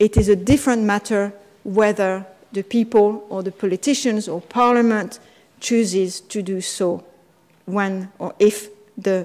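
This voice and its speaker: A woman at a medium pitch and fairly slow pace, with fairly even intonation and noticeable background noise. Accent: French. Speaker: constitutional law scholar. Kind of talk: conference talk. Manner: halting.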